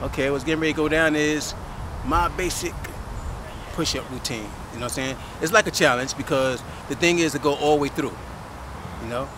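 Noticeable background noise accompanies a man talking at a fairly quick pace. The sound is dry with no echo, and his pitch variation is ordinary. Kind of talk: casual vlog chat. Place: street. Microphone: phone near.

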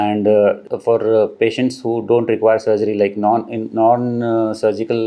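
A man is speaking. His intonation is monotone and flat. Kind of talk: testimonial interview answer. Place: office.

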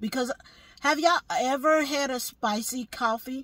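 Against a quiet background, a woman speaks very slowly in a somewhat breathy voice, with a dry sound and no echo. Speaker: vlogger. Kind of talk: casual vlog chat. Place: car. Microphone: phone near.

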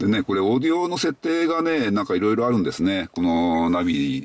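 Fairly quick speech from a man, dry with no echo. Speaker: car owner vlogger. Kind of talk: casual explanatory vlog chat. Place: car. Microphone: phone near.

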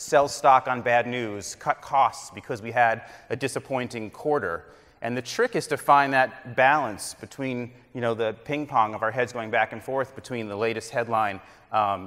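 A man keeps a moderate pace and ordinary pitch variation, with a quiet background behind him. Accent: American. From Connecticut. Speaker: business executive; keynote speaker. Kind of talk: conference keynote speech. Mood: earnest, lightly humorous. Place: hall. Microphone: lapel.

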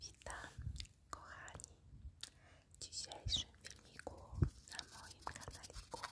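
A woman's whisper, very slow, broken by long, frequent pauses. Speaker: nail artist. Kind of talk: ASMR tutorial. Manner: whispered.

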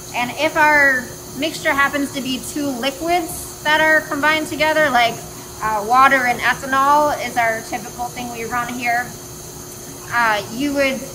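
Over noticeable background noise, a woman uses a raised, projected voice at a moderate pace with fairly even intonation. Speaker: engineering lecturer. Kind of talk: lecture. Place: factory. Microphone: phone near.

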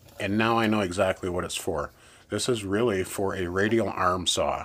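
A normal speaking voice at a fairly slow pace with fairly even intonation, over light background noise. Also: man. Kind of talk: casual show-and-tell commentary. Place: workshop.

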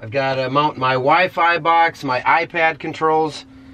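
The speech has ordinary pitch variation against noticeable background noise. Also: man. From US Midwest (Minnesota). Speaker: farmer vlogger. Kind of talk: casual vlog narration. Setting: outdoors on a farm, in machinery cab. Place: farm machine. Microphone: phone near.

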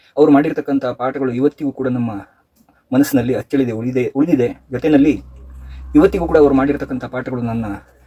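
A man's voice has a dark, mellow tone and fairly even intonation. The sound is dry and close, with no echo. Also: medium pitch for a man. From Sringeri, Karnataka. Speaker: businessman, former student. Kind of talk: recorded tribute message. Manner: formal.

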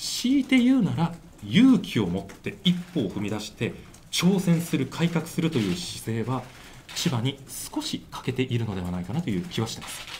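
A man talks at a moderate pace with vocal fry and very wide pitch swings. Light background noise can be heard. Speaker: election candidate. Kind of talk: press conference answer. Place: meeting room. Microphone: handheld.

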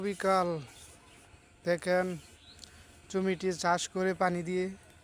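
A man's voice with a high pitch. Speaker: village vlogger. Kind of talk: walking tour vlog narration. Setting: outdoors. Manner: halting.

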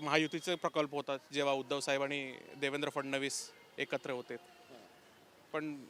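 A man's fairly high, bright and sharp voice comes across monotone and flat in a dry, close recording with no echo. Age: young. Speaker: park visitor. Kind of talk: street interview. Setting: outdoors.

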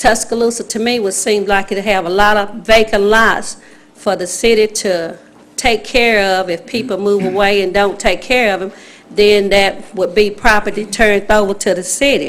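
In an Alabama accent, a woman speaks at a moderate pace with fairly even intonation, and audible room echo surrounds her voice. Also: medium pitch for a woman. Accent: Southern US (Alabama). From US South, Alabama. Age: 60s. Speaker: resident speaking at public hearing. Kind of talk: public comment at city council meeting. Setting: city council chamber, at microphone. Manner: halting.

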